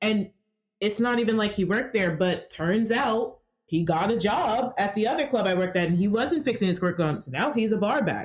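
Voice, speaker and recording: With an American accent, a woman talks at a fairly quick pace in a medium pitch. Her intonation is lively and her voice somewhat breathy. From Georgia, US South. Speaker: sex worker. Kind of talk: casual interview conversation.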